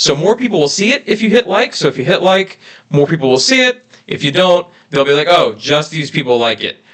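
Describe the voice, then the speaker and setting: Loud and fairly quick, this man talks in a high voice that swings very widely in pitch. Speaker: YouTube family channel co-host. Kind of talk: live stream Q&A chat. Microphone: reverb echo on his mic.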